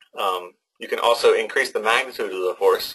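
The pace sits in the middle range. It is a man doing the talking. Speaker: presenter. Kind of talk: lecture. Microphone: video call.

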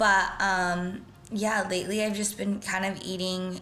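A woman at a fairly slow pace with ordinary pitch variation over light background noise. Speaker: lifestyle vlogger. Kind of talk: casual vlog chat. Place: kitchen. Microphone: phone near.

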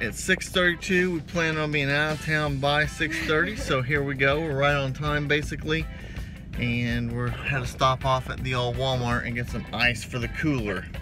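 A man speaks at a moderate pace with ordinary pitch variation, clear music playing in the background. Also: dry sound with no echo. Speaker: vlogger. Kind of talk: casual vlog chat. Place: car. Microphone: phone near.

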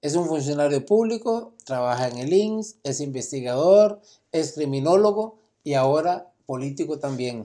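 Against a quiet background, a man with a Costa Rican accent speaks at a fairly slow pace, his dark, mellow tone carried by lively intonation. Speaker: lawyer and interviewer; lawyer, interviewer. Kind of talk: interview. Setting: conference venue. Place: meeting room. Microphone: camera far.

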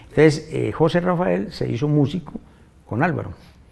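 A man speaks at a fairly quick pace with vocal fry. His tone is dark and mellow. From Colombia, Manzanares, Caldas; Caldas, Colombia. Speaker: musician; interviewee. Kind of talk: interview. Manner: halting. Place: studio.

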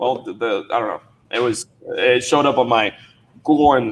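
With a Dominican accent, a man talks at a medium pitch. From Dominican Republic. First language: Spanish. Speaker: social media marketing entrepreneur. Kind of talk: casual livestream interview. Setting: video call livestream. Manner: fast talker.

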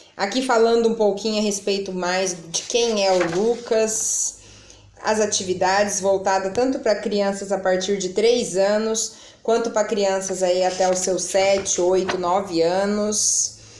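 A woman speaks in a monotone, flat intonation at very even loudness, with audible room echo and light background noise. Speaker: mom vlogger. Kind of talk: casual vlog product review. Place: home room. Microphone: phone near.

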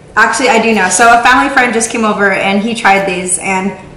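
Amid light background noise and audible room echo, a woman talks at a very fast pace. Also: fairly even intonation. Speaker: vlogger. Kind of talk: casual vlog chat. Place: kitchen. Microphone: camera far.

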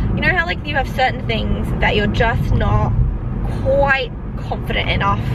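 A woman's moderately paced voice sounds dry and echo-free, though loud background noise surrounds it. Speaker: vlogger. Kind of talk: casual vlog chat. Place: car. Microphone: phone near.

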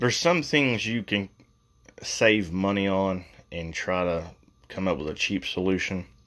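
Over a quiet background, a man talks at a fairly slow pace. His pitch is very deep and low. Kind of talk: casual DIY vlog narration. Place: bathroom. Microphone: phone near.

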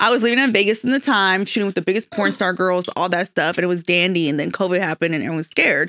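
A woman talks at a very fast pace with hardly any pauses, her tone animated and her pitch variation ordinary. The sound is dry, with no echo. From Mexico, Michoacan. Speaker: social media influencer. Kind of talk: casual chat. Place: studio. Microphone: studio mic.

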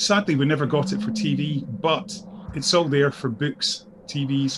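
A man speaks in a fairly high voice. Noticeable background noise runs underneath. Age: 40s. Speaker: podcast co-host. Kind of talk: casual chat.

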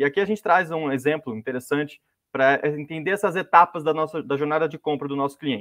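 A man at a very fast pace, fairly high in pitch with ordinary pitch variation, in a dry sound with no echo. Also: quiet background. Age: 20s. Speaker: marketing specialist. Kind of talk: webinar presentation. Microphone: video call.

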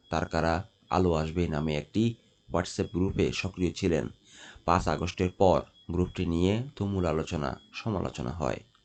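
This man's voice sits at a very deep, low pitch. His pitch varies in an ordinary way. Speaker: newspaper headline reader. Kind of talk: news reading. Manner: halting.

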